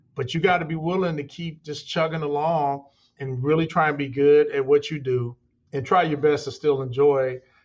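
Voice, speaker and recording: A man with a normal speaking voice, a fairly high pitch, fairly even intonation and a moderate pace. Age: 60s. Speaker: construction company owner. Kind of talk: interview. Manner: conversational, repeats words.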